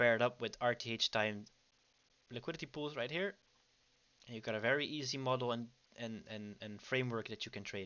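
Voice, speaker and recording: Here a man with a Dutch accent speaks at a fairly quick pace. His pitch varies in an ordinary way, and he takes long, frequent pauses. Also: medium pitch for a man. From Netherlands. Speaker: trading educator. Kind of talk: livestream trading commentary. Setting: online livestream. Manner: casual, with many fillers.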